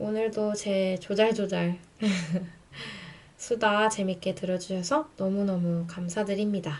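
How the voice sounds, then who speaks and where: Long, frequent pauses mark a woman's very slow speech at a medium pitch with fairly even intonation. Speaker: radio-style YouTuber. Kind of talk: casual radio-style chat. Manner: slurred, sleepy speech.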